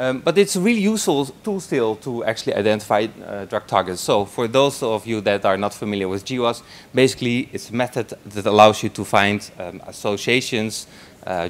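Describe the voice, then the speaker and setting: A medium-pitched man talking at a fairly quick pace. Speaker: postdoctoral researcher. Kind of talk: conference talk. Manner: fast; halting.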